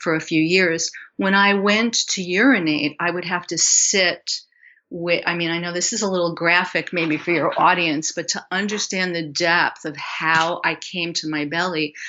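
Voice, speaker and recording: With a normal speaking voice, a woman talks at a fairly slow pace and a fairly low pitch, using ordinary pitch variation. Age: 60s. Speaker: health coach and somatic educator. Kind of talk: interview.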